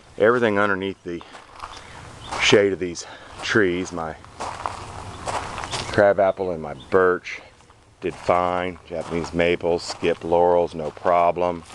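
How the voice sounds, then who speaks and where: A man's very deep, low voice, monotone and flat, with big swings in loudness and long, frequent pauses, in a dry sound with no echo over noticeable background noise. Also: fairly slow pace. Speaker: landscaper. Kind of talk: casual garden walkthrough video; casual garden walkthrough commentary. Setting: outdoors in backyard garden. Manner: stutters at times; halting with fillers. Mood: relaxed, matter-of-fact. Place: garden. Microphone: phone near.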